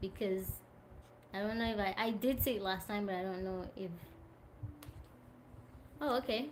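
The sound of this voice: A woman speaks at a medium pitch and a fairly slow pace, leaving long, frequent pauses, with audible room echo.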